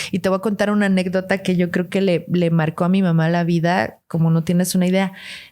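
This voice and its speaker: A woman's dark, mellow voice at a very fast pace. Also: medium pitch for a woman, very even loudness. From Guatemala, raised largely in Mexico City. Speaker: podcast guest. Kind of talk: interview. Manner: animated.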